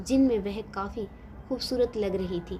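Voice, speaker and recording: A woman speaks with vocal fry. Her pitch varies in an ordinary way. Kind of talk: moral story narration.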